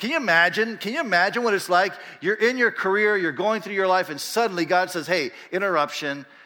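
In a raised, projected voice, a man speaks at a very fast pace with high pitch and ordinary pitch variation. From Panama. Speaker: pastor. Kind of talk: church announcement.

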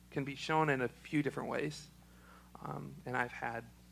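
A man's medium-pitched voice, fairly even in intonation, at a fairly slow pace.

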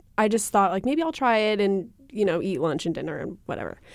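Fairly quick and medium in pitch, a woman talks in an ordinary speaking voice. The recording is very clean, with a silent background. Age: 20s. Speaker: podcast co-host. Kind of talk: casual chat.

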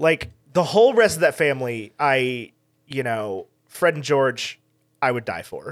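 A man with an American accent and a normal speaking voice talks at a fairly slow pace with a fairly high pitch. His intonation is lively, and his loudness swings widely. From Texas Hill Country. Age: 20s. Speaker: podcast guest, fellow podcaster. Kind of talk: casual chat. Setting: video call.

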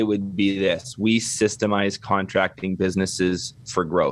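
A man with a Canadian accent has a plain, everyday voice, fairly low in pitch, and talks at a moderate pace. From Canada. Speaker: construction business consultant. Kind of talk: podcast interview.

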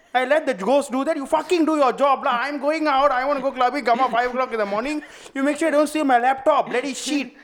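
In a Malaysian accent, a man with an extremely high pitch talks at a very fast pace with fairly even intonation. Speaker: stand-up comedian. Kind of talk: casual chat.

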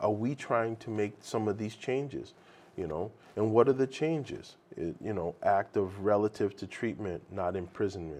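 Against a quiet background, a man with an American accent uses a normal speaking voice, fairly low in pitch, with ordinary pitch variation at a moderate pace. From Boston, Massachusetts (Roxbury, Jamaica Plain, Brockton). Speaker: addiction recovery coordinator. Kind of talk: casual interview. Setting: studio.

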